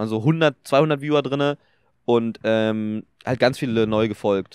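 Over a quiet background, a man speaks with a dry sound and no echo. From Germany, Brandenburg (Potsdam); Brandenburg, Germany. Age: young. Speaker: streamer and content creator; podcast guest, streamer. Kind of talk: casual chat. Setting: outdoors in a park. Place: open country. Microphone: handheld.

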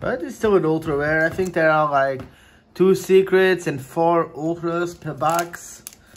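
A man speaks at a fairly slow pace. His voice sits high for a man. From Luxembourg. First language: Portuguese. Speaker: YouTuber doing trading card pack openings. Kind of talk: casual chat, video commentary while opening card packs. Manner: casual, chatty, excitable. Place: home room.

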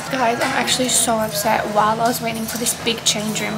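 Clear music plays in the background while the speech moves at a fairly quick pace. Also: woman. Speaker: vlogger. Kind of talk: casual vlog chat.

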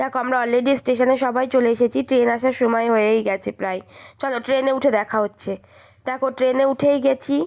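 A woman talks with a high pitch. The recording is very clean, with a silent background. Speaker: lifestyle vlogger. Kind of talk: vlog narration.

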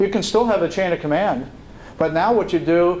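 A man with an American accent talks while noticeable background noise runs underneath. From New York City. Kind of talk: leadership talk. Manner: halting.

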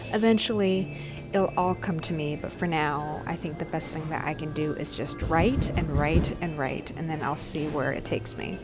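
A woman at a moderate pace with ordinary pitch variation, clear music in the background. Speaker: vlogger. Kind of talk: casual vlog chat. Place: cafe. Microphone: earbuds.

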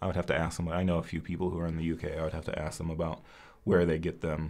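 A man speaks very fast at a very deep, low pitch in a monotone, flat intonation. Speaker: Chinese medicine educator. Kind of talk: live-stream Q&A. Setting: live stream from home. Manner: casual, chatty. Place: studio.

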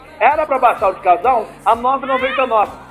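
Faint music sits behind a man speaking in an extremely high pitch at a fairly quick pace, his intonation fairly even. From Brazil. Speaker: store sales announcer. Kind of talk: live in-store sales pitch. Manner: dynamic, colloquial. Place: shop. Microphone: handheld.

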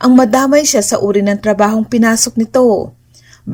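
Simply a natural reading voice

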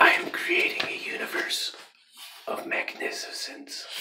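The voice is a whisper. It belongs to a man. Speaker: ASMR creator. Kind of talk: ASMR positive affirmations. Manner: whispered. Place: home room.

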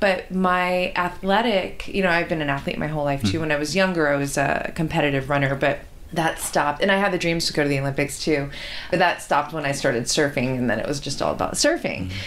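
Over noticeable background noise, a woman with a very deep, low pitch speaks at a very fast pace in an enthusiastic tone with ordinary pitch variation. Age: 40s. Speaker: podcast host. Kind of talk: podcast interview.

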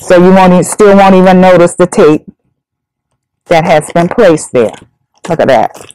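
With ordinary pitch variation and a moderate pace, a woman talks over a quiet background. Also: dry sound with no echo. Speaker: senior center coordinator. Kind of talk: tutorial. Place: meeting room.

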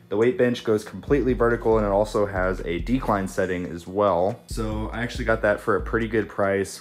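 Delivered at a fairly quick pace, this is an ordinary speaking voice. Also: man. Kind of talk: casual tour narration. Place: home room. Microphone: phone near.

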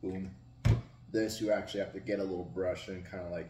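A man with a very deep, low, somewhat breathy voice and a dark, mellow tone talks at a fairly quick pace against noticeable background noise. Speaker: food reviewer. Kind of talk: casual vlog chat. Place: home room. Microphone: camera far.

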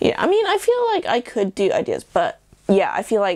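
A woman with an English accent at a moderate pace. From England. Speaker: YouTuber. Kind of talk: casual vlog monologue. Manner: talkative, rambling. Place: home room.

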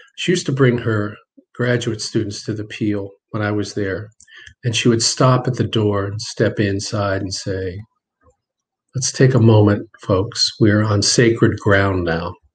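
Somewhat breathy, a man speaks with a fairly low pitch, fairly even intonation and a fairly slow pace. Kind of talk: interview answer. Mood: reflective, personal. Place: home room. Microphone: webcam.

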